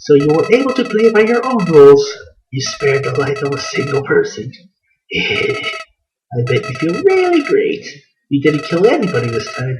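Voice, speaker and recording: At a moderate pace, a man delivers a put-on character voice. The voice sits high for him. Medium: role play. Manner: taunting, menacing.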